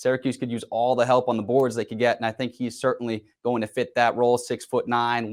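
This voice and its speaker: A man is speaking. His pace is very fast. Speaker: sports reporter. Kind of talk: on-air sports report.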